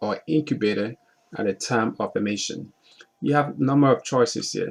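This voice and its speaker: The man's pitch variation is ordinary. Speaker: navy exam prep instructor. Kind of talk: tutorial. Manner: fast; halting.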